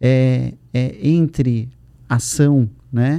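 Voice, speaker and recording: A man speaks in a dark, mellow tone. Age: 40s. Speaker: lawyer and educator for lawyers. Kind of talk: interview conversation.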